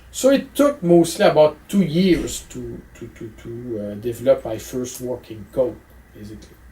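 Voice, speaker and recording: A man with a strong French Canadian accent speaks at a moderate pace, his loudness swinging widely. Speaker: physics professor. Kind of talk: interview answer. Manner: hesitant, many fillers.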